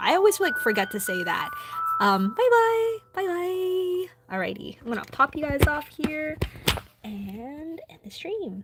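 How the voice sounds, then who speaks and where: A high-pitched female voice with very wide pitch swings and big swings in loudness, music playing in the background. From Philippines (Filipino family). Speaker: anime art livestreamer. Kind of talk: casual livestream chat. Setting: livestream. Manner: hesitant, many fillers.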